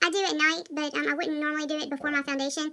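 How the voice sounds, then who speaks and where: In a very clean recording with a silent background, a woman with an American accent talks at a very fast pace in a high-pitched, raised, projected voice. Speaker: makeup artist. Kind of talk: makeup tutorial.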